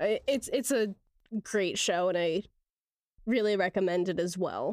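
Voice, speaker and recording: At a fairly slow pace, a woman speaks at medium pitch with ordinary pitch variation in a plain, everyday voice, the sound dry and close with no echo. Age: 20s. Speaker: film podcast co-host. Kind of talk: casual chat.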